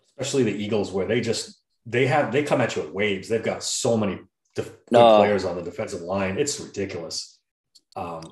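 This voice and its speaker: A man speaks at a fairly quick pace, his fairly low voice showing ordinary pitch variation. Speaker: podcast co-host. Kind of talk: casual sports podcast chat. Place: home room. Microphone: video call.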